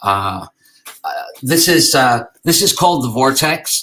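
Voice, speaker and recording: Here a man speaks with an Irish accent. His tone is bright and sharp. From Ireland. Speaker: game design and architecture teacher. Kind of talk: conference talk. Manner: halting, many fillers.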